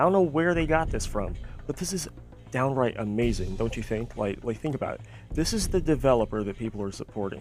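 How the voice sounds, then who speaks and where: Over music in the background, a man speaks at a fairly quick pace. His medium-pitched voice carries an animated tone. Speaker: gaming commentary YouTuber. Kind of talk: commentary rant. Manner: stuttering.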